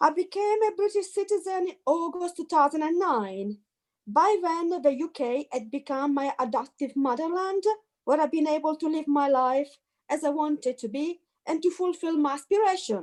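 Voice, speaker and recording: Speaking with an Italian accent, a woman has a high pitch and lively intonation. Her pace is moderate. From Italy. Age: 50s. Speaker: activist. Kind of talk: testimony. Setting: video call.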